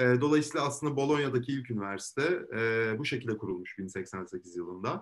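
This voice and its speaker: A man speaks at a medium pitch with lively intonation and a fairly quick pace. He leaves hardly any pauses. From Istanbul, Turkey. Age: 20s. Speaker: law student. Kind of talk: interview. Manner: hesitant with frequent fillers.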